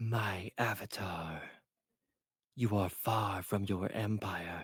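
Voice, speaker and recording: In a rumbling, put-on character voice, a man speaks at a very slow pace. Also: fairly low pitch for a man. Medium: read story. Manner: imperious, menacing.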